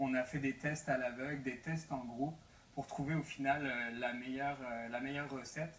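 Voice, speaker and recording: Speaking in a Breton accent, a man keeps his intonation flat and monotone. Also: medium pitch for a man, moderate pace. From Brittany, France. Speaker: entrepreneur. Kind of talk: TV talk show interview. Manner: hesitant, many fillers and repetitions.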